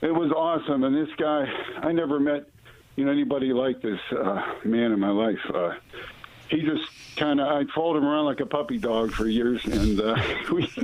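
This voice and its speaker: A man's fairly high voice at a fairly quick pace, very even in loudness, with long, frequent pauses and noticeable background noise. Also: ordinary pitch variation. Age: 60s. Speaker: caller. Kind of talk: testimony. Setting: phone call. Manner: halting.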